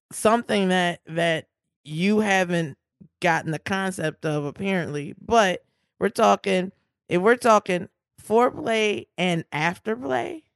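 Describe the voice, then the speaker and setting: In a dry, close sound with no echo and a quiet background, a woman speaks at a fairly slow pace. She has a plain, everyday voice at a medium pitch with ordinary pitch variation. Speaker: podcast host, legal commentator. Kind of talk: casual banter about law.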